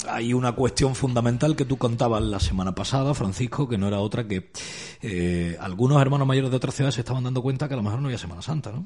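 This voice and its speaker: A man's somewhat breathy voice at a very fast pace, medium in pitch, with ordinary pitch variation. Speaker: radio host. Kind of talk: radio show. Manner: formal.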